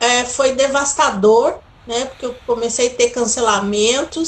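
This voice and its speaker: The woman's voice sits high. She talks at a fairly slow pace. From São Paulo, Brazil. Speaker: tourism entrepreneur. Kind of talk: interview.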